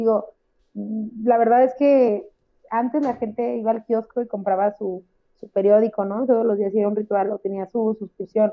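A woman talks at a moderate pace at a fairly high pitch. It is an ordinary speaking voice. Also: fairly even intonation. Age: 30s. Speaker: podcast co-host. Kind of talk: casual chat.

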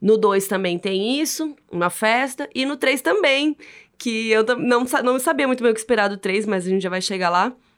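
With a Brazilian accent, a woman talks at a moderate pace in a fairly high pitch, her intonation lively. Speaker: podcast host and film presenter. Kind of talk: casual chat.

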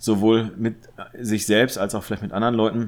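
The recording is very clean with a silent background as a man speaks at medium pitch. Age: 30s. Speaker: photographer. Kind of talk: casual chat. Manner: halting.

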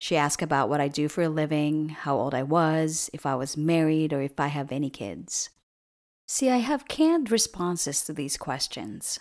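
Very deep and low in pitch, a woman with an American accent speaks at a moderate pace with lively intonation on a very clean recording with a silent background. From outside the US. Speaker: podcast host. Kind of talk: scripted narration.

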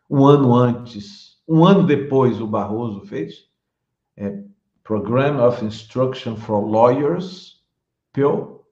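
Very slowly and with lively intonation, a man speaks in a dark, mellow, somewhat breathy voice at medium pitch, with audible room echo. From Bahia, Brazil (Salvador). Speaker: law professor. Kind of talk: interview. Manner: halting.

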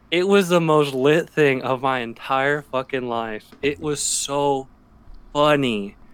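A man with a normal speaking voice talks at a fairly high pitch, his pitch varying in an ordinary way. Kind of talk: casual banter podcast. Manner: laid-back, joking.

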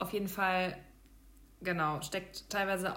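A woman speaks at a medium pitch and a fairly slow pace. Her intonation stays fairly even in an ordinary speaking voice. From Hesse, Germany (near Darmstadt). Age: 30s. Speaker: product manager and vegan food blogger. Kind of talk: casual interview chat.

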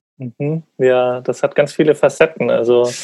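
Medium in pitch, a man speaks at a fairly slow pace. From Bavaria, Munich. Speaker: podcast host. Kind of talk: interview conversation.

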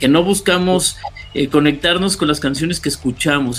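There is ordinary pitch variation in the man's voice, which sits at a fairly high pitch. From Mexico City (Coyoacán). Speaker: radio producer and announcer. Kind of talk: casual chat. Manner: halting, repeats words.

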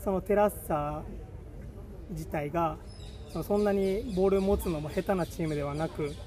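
A man talks with a high pitch and ordinary pitch variation. He leaves long, frequent pauses. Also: moderate pace. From Okinawa, Japan. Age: 20s. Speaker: football coach. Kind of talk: casual interview.

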